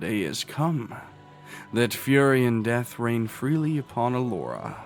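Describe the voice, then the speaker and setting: A man performs a booming, put-on character voice at a medium pitch and a moderate pace. Clear music plays in the background. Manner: commanding, ominous.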